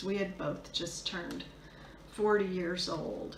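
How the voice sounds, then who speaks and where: A woman speaks at a medium pitch and a fairly slow pace, with monotone, flat intonation. Audible room echo and noticeable background noise come through. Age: 60s. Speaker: video blogger sharing divorce experience. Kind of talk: personal testimony. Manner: hesitant, many fillers.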